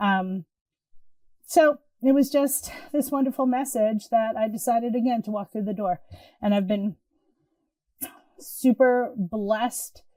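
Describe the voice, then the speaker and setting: A woman's fairly high, somewhat breathy voice with a dark, mellow tone, ordinary pitch variation and long, frequent pauses. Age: 60s. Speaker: intuitive healer. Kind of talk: casual chat. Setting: podcast interview.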